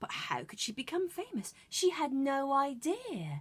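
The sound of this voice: Her voice sits high, with very wide pitch swings. The woman speaks at a fairly slow pace.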